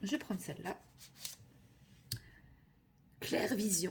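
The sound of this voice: A woman performs a put-on character voice that sounds hoarse. Her pitch is medium and her pace moderate.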